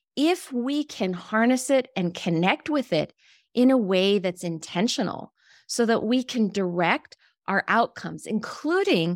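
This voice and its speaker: Over a very clean recording with a silent background and a dry, close sound with no echo, a woman with a General American accent speaks at a fairly slow pace, her fairly high pitch making very wide swings. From US Mountain West, Wyoming. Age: 50s. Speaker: leadership educator and author. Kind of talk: interview.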